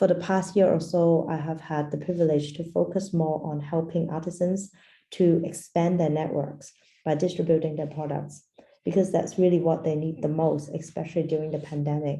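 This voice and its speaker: A woman speaks in a very deep, low pitch with a dark, mellow tone. Her voice is somewhat breathy and her intonation monotone and flat. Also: moderate pace. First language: Portuguese. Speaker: design anthropologist. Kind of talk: lecture. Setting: video call.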